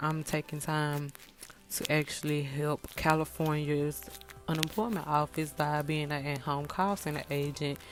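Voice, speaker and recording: This woman has a very deep, low pitch and speaks with a Mississippi accent. Her intonation stays fairly even at a moderate pace. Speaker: wig maker and beauty vlogger. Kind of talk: tutorial. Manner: casual, halting.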